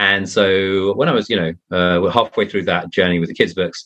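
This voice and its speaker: The speaker talks at a fairly quick pace. They have a southern English accent. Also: man. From England, Surrey. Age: 30s. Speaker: mystery author. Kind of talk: podcast interview.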